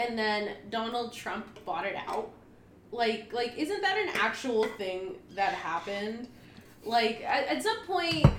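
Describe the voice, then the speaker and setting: A woman with a fairly high pitch talks at a fairly slow pace with lively intonation over noticeable background noise. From US, Mexican-American. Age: 20s. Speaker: podcast co-host. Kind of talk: casual chat. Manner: animated.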